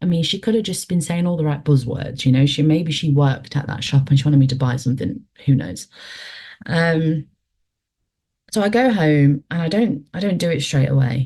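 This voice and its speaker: A woman's very deep, low voice, somewhat breathy and dark and mellow in tone, with lively intonation at a moderate pace. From English Midlands. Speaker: paranormal experiencer. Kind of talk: storytelling.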